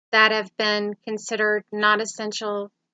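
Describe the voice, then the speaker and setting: Speaking at a fairly slow pace, a woman has a fairly high pitch. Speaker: YouTuber, lifestyle and safety vlogger. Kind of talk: casual vlog monologue. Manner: hesitant, frequent filler words.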